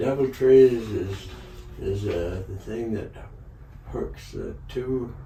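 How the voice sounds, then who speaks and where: A man speaking at a very slow pace with long, frequent pauses, amid audible room echo and noticeable background noise. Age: 90s. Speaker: sawmill owner. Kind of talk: interview storytelling. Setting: sit-down interview at a table. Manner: halting, repeats words.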